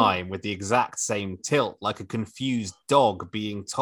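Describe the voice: The pitch moves in an ordinary way. It is plain reading aloud.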